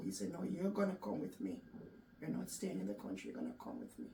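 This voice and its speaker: A woman's voice carries audible room echo. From Jamaica. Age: 60s. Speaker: cancer survivor. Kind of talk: interview.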